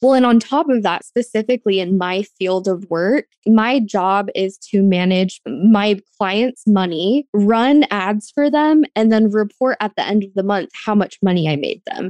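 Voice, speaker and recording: A woman with an American accent speaks in an unremarkable speaking voice at a medium pitch for a woman, with ordinary pitch variation. Her pace is fairly slow, and the sound is dry and close with no echo. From Arizona, US (rural Apache County). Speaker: podcast host. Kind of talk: casual interview chat.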